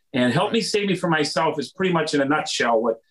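With an American accent, a man speaks at a high pitch. His voice swings very widely in pitch. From Wisconsin. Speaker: rock singer. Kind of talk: interview.

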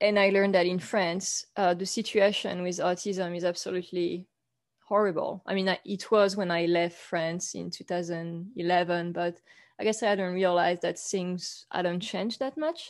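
Against a quiet background, a woman talks in a French accent. Her pace is moderate and her intonation fairly even. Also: medium pitch for a woman. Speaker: author and photographer. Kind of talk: interview.

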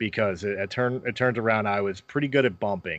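Against a quiet background, a man with an unremarkable speaking voice talks fairly quickly at a medium pitch, his intonation lively. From Philadelphia, US. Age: 40s. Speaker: podcaster and former pro wrestler. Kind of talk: casual interview chat.

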